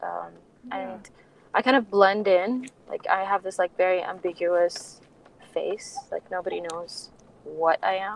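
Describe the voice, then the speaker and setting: Her loudness swinging widely, a woman speaks at a fairly slow pace amid noticeable background noise. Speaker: art curator. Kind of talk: casual interview. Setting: remote call.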